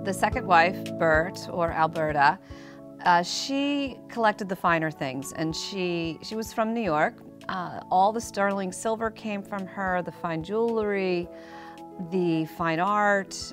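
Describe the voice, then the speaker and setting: Over clear background music, a woman with an American accent talks very slowly in a fairly low pitch, her pitch varying in an ordinary way. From United States. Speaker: auctioneer. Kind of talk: auction preview talk to camera. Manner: conversational, storytelling, with hesitations. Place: shop.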